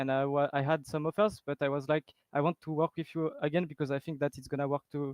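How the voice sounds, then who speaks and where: Talking at a fairly quick pace, a man with a French accent has a fairly high pitch. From France. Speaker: esports player. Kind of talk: post-match interview.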